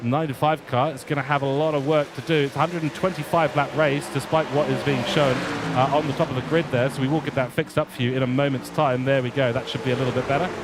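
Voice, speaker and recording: Over noticeable background noise, a man with a fairly high voice rushes along at a very fast pace with hardly any pauses. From England. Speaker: motorsport commentator. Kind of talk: live commentary. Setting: commentary box. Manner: animated.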